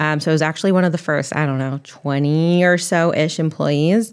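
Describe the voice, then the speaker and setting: Speaking at a fairly quick pace, a woman with a very deep, low pitch keeps a fairly even intonation in a very clean recording with a silent background. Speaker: travel editor and digital content director. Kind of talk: casual chat. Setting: studio. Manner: fast talker.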